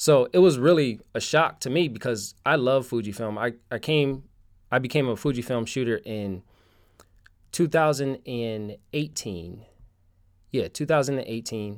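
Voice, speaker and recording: With an American accent, a man speaks at a medium pitch with ordinary pitch variation and long, frequent pauses. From Connecticut, US. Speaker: street photographer. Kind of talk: casual interview chat. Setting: remote call.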